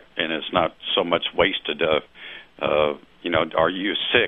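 This man speaks with a slight Southern US accent. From US South. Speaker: domain investor. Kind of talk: interview. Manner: halting.

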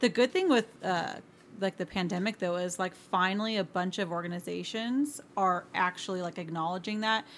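A woman's plain, everyday voice at medium pitch, with ordinary pitch variation and a moderate pace. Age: 30s. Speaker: teacher. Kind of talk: casual chat.

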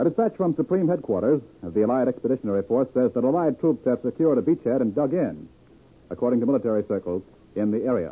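Very fast speech with lively intonation, in an American accent. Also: man, medium pitch for a man. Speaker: radio news anchor. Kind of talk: live news broadcast. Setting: studio.

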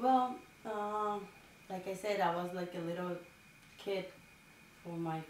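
Against noticeable background noise and audible room echo, a woman with a Dominican accent speaks at a fairly low pitch with fairly even intonation. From rural Dominican Republic. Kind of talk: interview.

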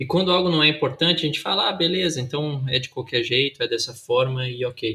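A man with an ordinary speaking voice, fairly high in pitch, at a fairly quick pace with ordinary pitch variation. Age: 20s. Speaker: pastor and podcast co-host. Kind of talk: casual chat.

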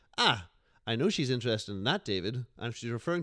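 In a very clean recording with a silent background, a man with a Northern Irish accent speaks very fast with lively intonation. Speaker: podcast guest. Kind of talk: casual chat.

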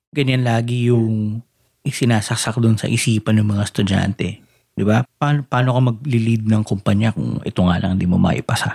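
A man in an ordinary speaking voice at a moderate pace, with very even loudness, fairly even intonation and a dry, close sound with no echo. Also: medium pitch for a man. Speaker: podcast host. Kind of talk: casual chat.

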